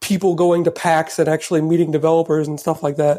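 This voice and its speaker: On a very clean recording with a silent background, a man speaks in a dark, mellow tone. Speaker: caller. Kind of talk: casual chat.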